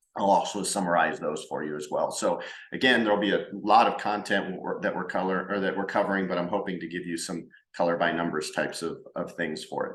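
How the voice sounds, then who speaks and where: Audible room echo follows a man speaking at a fairly quick pace. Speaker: business consultant and workshop host. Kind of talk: recorded workshop presentation. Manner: fast; halting, with filler words and repetitions.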